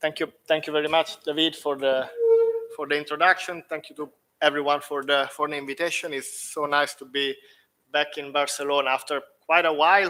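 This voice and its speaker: In an Italian accent, a man speaks fairly quickly at a fairly high pitch, with a bright, sharp tone and fairly even intonation. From Italy, Rome. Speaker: professor. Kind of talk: lecture.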